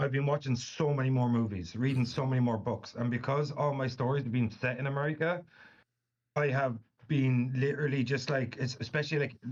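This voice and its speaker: The voice is somewhat breathy, at a fairly quick pace. Intonation stays fairly even and loudness very even. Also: man, medium pitch for a man. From Irish Midlands. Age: 30s. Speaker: author. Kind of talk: casual interview chat.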